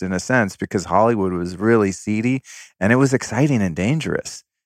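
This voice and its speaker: Against a quiet background, a man with a fairly low pitch talks with lively intonation. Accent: American. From Northern California (Sonoma County). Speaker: podcast host and former fashion stylist. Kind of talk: casual interview chat. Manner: casual, profane.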